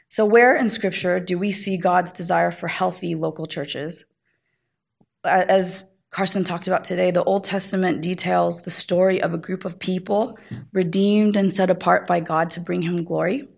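Talking at a moderate pace and a medium pitch with fairly even intonation and vocal fry, a woman comes through on a very clean recording over a silent background. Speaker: panelist and church member. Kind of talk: teaching talk.

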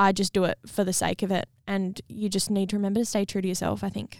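A woman speaks at a medium pitch with an Australian accent, moving at a fairly quick pace. The recording is very clean, with a silent background. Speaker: podcast host and singer-songwriter. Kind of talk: casual chat.

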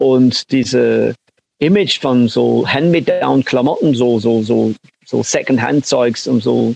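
A man with an English accent at a very slow pace, very even loudness and a dry, close sound with no echo. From northern England, Manchester outskirts. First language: English (speaking German). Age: 60s. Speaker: punk-era music figure and producer. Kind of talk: interview. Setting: remote call. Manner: halting.

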